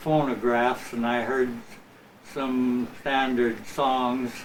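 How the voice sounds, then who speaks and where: A man with an American accent speaks very slowly at a medium pitch. Audible room echo and noticeable background noise surround him. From Imperial Valley, Southern California. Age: 70s. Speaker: retired musician. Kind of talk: interview. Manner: halting, many fillers.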